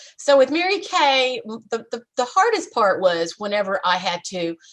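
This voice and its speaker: With lively intonation and a plain, everyday voice, a woman talks at a moderate pace. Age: 60s. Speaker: speaker and trainer, former direct sales leader. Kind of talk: interview, casual chat.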